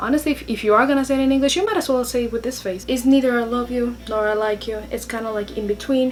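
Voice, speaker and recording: Over music in the background, a woman with a Spanish accent speaks very fast with hardly any pauses, her pitch high with ordinary variation. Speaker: YouTuber. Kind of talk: vlog tips talk.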